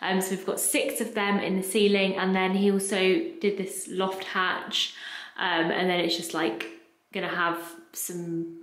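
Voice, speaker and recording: A woman's pitch varies in an ordinary way. Room echo is audible. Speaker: home renovation vlogger. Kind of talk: casual vlog chat. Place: home room. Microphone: phone near.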